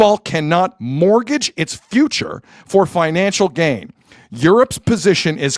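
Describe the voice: The delivery is plain reading aloud. Its intonation is lively.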